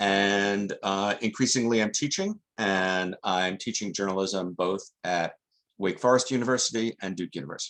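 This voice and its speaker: A man's very deep, low voice moves at a moderate pace, its pitch varying in an ordinary way. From New York. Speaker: journalist and journalism teacher. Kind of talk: podcast interview.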